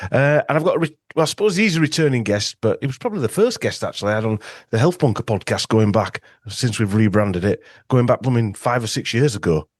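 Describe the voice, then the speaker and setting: A man with a Yorkshire accent speaks very fast in a medium pitch, with lively intonation. The sound is dry and close with no echo, and the background is quiet. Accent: Yorkshire northern English. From Yorkshire, northern England. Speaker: podcast host and ozone clinic owner. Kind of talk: casual interview chat. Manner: hesitant with many fillers.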